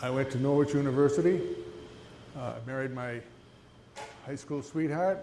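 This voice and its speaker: A man speaks at a moderate pace and a fairly high pitch with ordinary pitch variation, leaving long, frequent pauses. Audible room echo hangs around his voice. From New England, New Hampshire. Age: 70s. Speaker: small business owner, retired army veteran. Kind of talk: entrepreneur presentation. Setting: live event with audience. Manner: halting, many fillers; quiet. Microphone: handheld mic held too far away at first.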